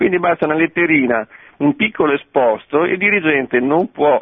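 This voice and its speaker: The speaker is a man with a plain, everyday voice. His intonation is lively and his pace moderate. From Veneto, Castelfranco Veneto. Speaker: caller. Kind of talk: phone-in comment. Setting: phone call.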